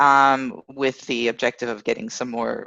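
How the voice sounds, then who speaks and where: The background stays quiet. Here a woman talks at a moderate speed with an American accent. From United States. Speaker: study abroad advisor. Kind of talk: interview. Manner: hesitant, many fillers.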